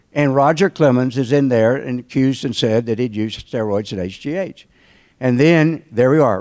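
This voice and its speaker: With a Southern accent, a man talks at a moderate pace and medium pitch with ordinary pitch variation, on a very clean recording with a silent background. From North Carolina. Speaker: trial lawyer. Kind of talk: invited talk to alumni audience. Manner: conversational storytelling.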